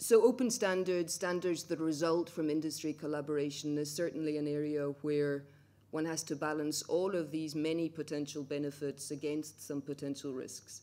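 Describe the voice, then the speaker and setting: This woman has a very deep, low voice with a dark, mellow tone, talking at a moderate pace with hardly any pauses and fairly even intonation. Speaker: speaker. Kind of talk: conference talk. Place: hall. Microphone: podium.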